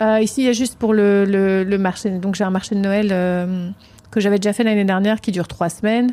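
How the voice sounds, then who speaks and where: Fairly quick speech with a dark, mellow tone, monotone, flat intonation, and very even loudness. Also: woman, medium pitch for a woman. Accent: strong Provençal. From Provence, southern France. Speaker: candle maker, small business owner. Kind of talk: interview. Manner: halting, many hesitations.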